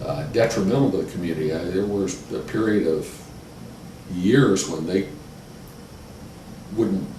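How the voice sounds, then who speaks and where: A man with a Midwestern American accent and a very deep, low pitch speaks with lively intonation and long, frequent pauses over noticeable background noise. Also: moderate pace. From Westerville, Ohio. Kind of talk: oral history interview answer.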